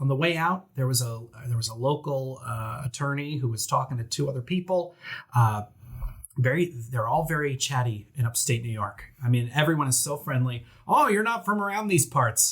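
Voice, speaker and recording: A man with a New Jersey accent, fairly high in pitch, animated in tone with lively intonation, at a moderate pace on a very clean recording with a silent background. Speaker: attorney. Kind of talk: casual chat.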